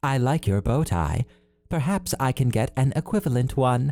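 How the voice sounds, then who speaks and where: A man's put-on character voice, upbeat in tone, at a medium pitch and a moderate pace. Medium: read story. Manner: literal, upbeat.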